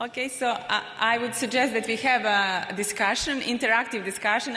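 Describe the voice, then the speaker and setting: A woman speaks with a Serbian accent. The room echo is audible, and background noise is noticeable. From Republic of Srpska, Bosnia and Herzegovina. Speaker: panel moderator, investment professional. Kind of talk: panel discussion. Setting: stage with audience. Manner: halting, many fillers.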